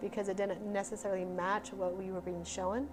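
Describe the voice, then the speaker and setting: A woman talks at a medium pitch. Behind her, music plays. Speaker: spiritual healer, psychic reader. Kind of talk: psychic reading session. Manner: fast; animated.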